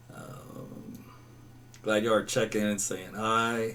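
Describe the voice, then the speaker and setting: Very slowly, a man with a slight Southern accent speaks at medium pitch in a flat monotone, his loudness swinging widely. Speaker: meteorologist. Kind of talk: live weather broadcast with chat reading. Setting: live stream. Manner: casual, conversational.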